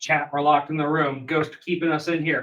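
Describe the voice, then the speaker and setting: A man puts on a character voice, fairly high in pitch with monotone, flat intonation. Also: fairly quick pace. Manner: flat, clipped, synthetic.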